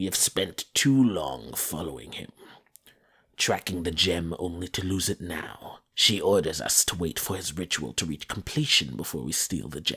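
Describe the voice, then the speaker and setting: Putting on a growling character voice, a man speaks at a moderate pace with a very deep, low pitch. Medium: read story. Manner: snarling, domineering.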